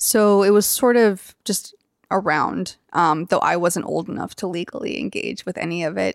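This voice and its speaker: Recorded very cleanly against a silent background with a dry, close sound with no echo, a woman with an American accent has an unremarkable speaking voice, medium pitch, and ordinary pitch variation. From US South, Athens, Georgia. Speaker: tattoo artist. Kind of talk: interview.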